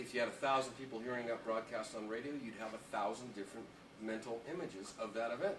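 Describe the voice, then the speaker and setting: Noticeable background noise runs through the clip. A man talks very fast at medium pitch. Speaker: former morning radio host. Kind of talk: interview answer.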